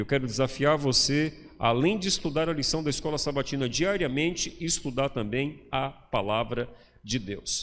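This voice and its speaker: Lively in intonation, a man speaks at a fairly high pitch in a plain, everyday voice. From Bahia, Brazil (interior). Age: 50s. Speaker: pastor. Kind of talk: sermon. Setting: church.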